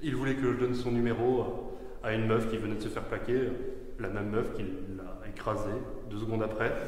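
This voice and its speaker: Audible room echo surrounds a man's voice. He speaks at a moderate pace with fairly even intonation. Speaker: speaker. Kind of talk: funeral eulogy speech. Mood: light, anecdotal, with humor. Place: church. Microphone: podium.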